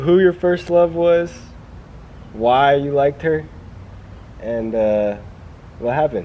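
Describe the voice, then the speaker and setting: A man's fairly high, lively voice at a very slow pace, with long, frequent pauses and noticeable background noise. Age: 20s. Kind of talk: casual talk to camera.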